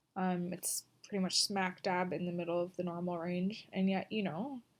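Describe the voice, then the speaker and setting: The speech is mumbled in a monotone, flat intonation. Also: woman. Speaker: vlogger. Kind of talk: video diary. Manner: halting, many pauses; mumbling. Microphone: poor recording quality.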